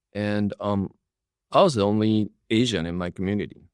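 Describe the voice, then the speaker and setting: A man speaks with an American accent at a fairly low pitch. His intonation is fairly even, and the sound is dry and close with no echo. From Texas, US (raised from fourth grade; Japanese-born). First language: Japanese. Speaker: impact investor. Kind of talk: interview conversation. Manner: repetitive filler words, casual.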